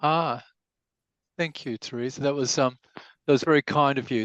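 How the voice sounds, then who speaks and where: Against a quiet background, a man with an Australian accent speaks at a fairly high pitch. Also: dry, close sound with no echo. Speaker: lawyer, webinar speaker. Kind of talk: webinar presentation. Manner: halting, many fillers.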